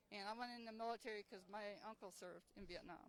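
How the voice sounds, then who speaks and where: An unremarkable speaking voice from a woman, medium in pitch, with fairly even intonation and a fairly quick pace. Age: 60s. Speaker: army veteran. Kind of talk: street interview.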